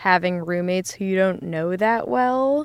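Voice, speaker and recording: A woman with an American accent and an unremarkable speaking voice, medium in pitch, lively in intonation and moderate in pace, on a very clean recording with a silent background. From Essex County, New Jersey. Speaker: editorial assistant, recent graduate. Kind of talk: casual chat. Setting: studio.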